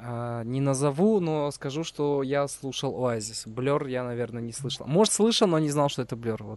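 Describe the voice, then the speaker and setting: A man with a fairly high pitch and lively intonation talks at a moderate pace in an ordinary speaking voice. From Uzbekistan. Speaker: podcast host. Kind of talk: casual chat.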